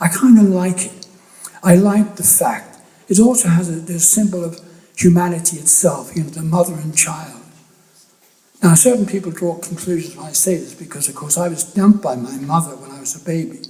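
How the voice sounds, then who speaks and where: In an Irish accent, a high-pitched man talks at a fairly quick pace, with big swings in loudness and ordinary pitch variation. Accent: Irish accent still marked. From Ireland, Athy, County Kildare; later England. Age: 70s. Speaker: photographer. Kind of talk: public talk. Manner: halting, with many restarts.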